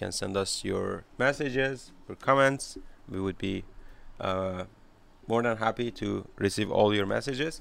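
A man's medium-pitched voice with a Persian accent, ordinary pitch variation and a fairly slow pace. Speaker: podcast host. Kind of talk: interview.

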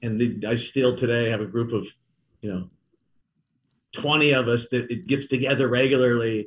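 This man has an American accent and a somewhat breathy, medium-pitched voice. He talks at a moderate pace with fairly even intonation and long, frequent pauses. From US Midwest, Kansas City. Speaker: company CEO. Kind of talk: interview. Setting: remote, not in studio.

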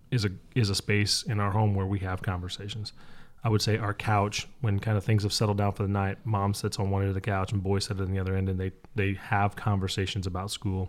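This man speaks fairly quickly in a fairly low pitch. His intonation stays monotone and flat. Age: 40s. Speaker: youth camp director, dad. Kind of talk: casual interview chat.

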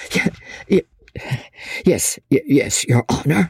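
In a put-on character voice, a man speaks slowly at a fairly high pitch with lively intonation, a slightly mellow tone, vocal fry, and a husky, rough edge, the sound dry and close with no echo.

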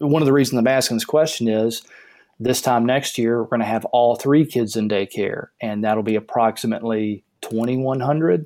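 On a very clean recording with a silent background, a man with a Southern US accent speaks at a moderate pace in a dark, mellow tone, medium pitch and fairly even intonation. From US South. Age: 30s. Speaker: caller. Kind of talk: casual chat.

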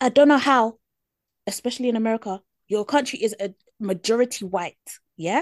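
In a British accent, a woman with a fairly high voice talks at a fairly quick pace with ordinary pitch variation and long, frequent pauses, her sound dry and close with no echo. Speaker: podcast co-host. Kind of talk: casual chat.

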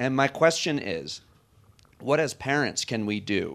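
A man with a normal speaking voice, medium pitch and lively intonation, on a very clean recording with a silent background. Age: 40s. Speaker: comedian and radio host. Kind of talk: onstage interview. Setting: stage with audience.

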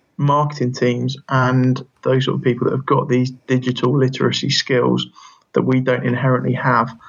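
This man speaks with an English accent at a moderate pace. His medium-pitched voice is somewhat breathy. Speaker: physiotherapy lecturer and researcher. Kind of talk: interview.

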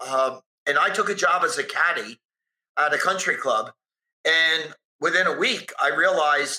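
A raised, projected voice with a bright, sharp tone. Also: man. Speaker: sales speaker and author. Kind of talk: interview conversation. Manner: repeats words, stumbling starts.

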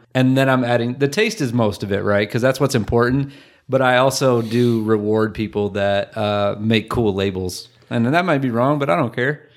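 A man with an American accent in an ordinary speaking voice, medium pitch and ordinary pitch variation, at a moderate pace, on a very clean recording with a silent background. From Michigan. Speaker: podcast host, stay-at-home dad. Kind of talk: casual chat.

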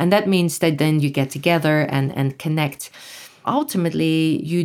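With a Dutch accent, a woman speaks at a moderate pace. Her pitch is very deep and low. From Netherlands. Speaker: retired professor and nonprofit executive director. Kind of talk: interview.

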